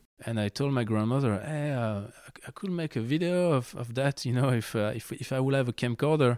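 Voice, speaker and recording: In a French accent, a man speaks fairly quickly with ordinary pitch variation in a very clean recording with a silent background. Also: medium pitch for a man, hardly any pauses. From France, Lyon. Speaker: skate videographer and photographer. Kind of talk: interview. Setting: at his home.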